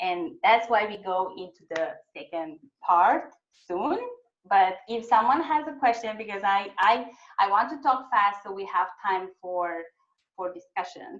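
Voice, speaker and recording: Speaking at a fairly slow pace, a woman has an ordinary speaking voice at a medium pitch, with lively intonation and big swings in loudness. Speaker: webinar presenter on websites. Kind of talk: webinar presentation.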